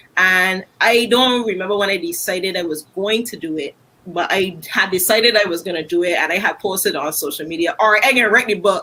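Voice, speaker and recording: A woman at medium pitch, fairly quick with hardly any pauses, over noticeable background noise. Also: ordinary pitch variation. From Barbados. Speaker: singer and author. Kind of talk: interview.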